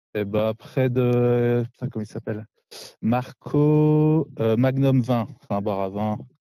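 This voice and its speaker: In a dry, close sound with no echo, a man speaks very slowly at a medium pitch, his dark, mellow tone carrying fairly even intonation. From Lorraine, north-east France. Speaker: winemaker. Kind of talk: casual chat. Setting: outdoors in vineyards. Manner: cheerful.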